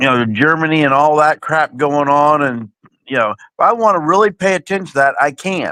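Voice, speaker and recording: A plain, everyday voice moves at a moderate pace, its intonation lively. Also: man, fairly high pitch for a man. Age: 60s. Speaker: panelist in online live chat. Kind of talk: casual chat.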